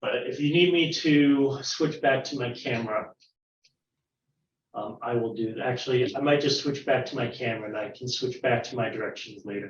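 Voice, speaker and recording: With ordinary pitch variation, a man of medium pitch speaks at a moderate pace in a somewhat breathy voice. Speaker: science teacher. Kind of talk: online science lesson for children.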